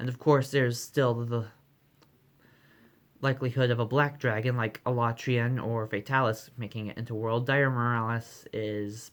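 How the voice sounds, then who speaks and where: There is a very clean recording with a silent background of a man with a medium pitch speaking in monotone, flat intonation. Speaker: gaming vlogger. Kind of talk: casual vlog. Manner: fast; hesitant, with fillers.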